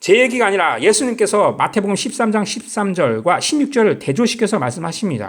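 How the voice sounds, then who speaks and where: Delivered at a moderate pace, the speech carries audible room echo. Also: man. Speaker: lay preacher on video channel. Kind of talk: sermon-style bible teaching. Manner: halting.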